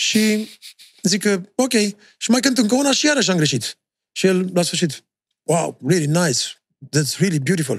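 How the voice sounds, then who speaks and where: A man speaks fairly slowly in a high voice, with long, frequent pauses. His pitch swings very widely while his loudness stays very even. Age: 50s. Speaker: podcast host and musician. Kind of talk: casual chat. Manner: stammering.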